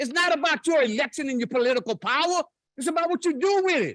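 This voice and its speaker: A man speaks at a moderate pace with an extremely high pitch, ordinary pitch variation, and a bright, sharp, animated tone. The sound is dry and close, with no echo. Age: 70s. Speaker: public commenter, war veteran. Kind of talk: public comment at council meeting. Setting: city council chamber.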